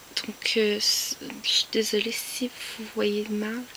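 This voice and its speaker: Whispering at a very slow pace in a Quebec accent, a woman is heard over noticeable background noise. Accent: Québécois French. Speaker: YouTuber, collector. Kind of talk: casual vlog show-and-tell. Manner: hesitant, many fillers.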